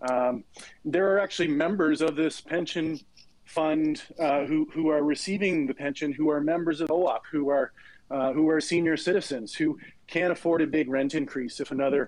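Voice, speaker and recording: An unremarkable speaking voice moves at a moderate pace with ordinary pitch variation and very even loudness. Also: man. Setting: Twitter Spaces audio call.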